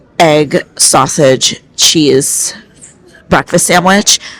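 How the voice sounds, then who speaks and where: Her voice is very deep and low, and the woman speaks at a very slow pace. Noticeable background noise sits behind her. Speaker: cruise vlogger. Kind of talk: casual vlog talk to camera. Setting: on a cruise ship in rough seas. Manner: choppy, halting.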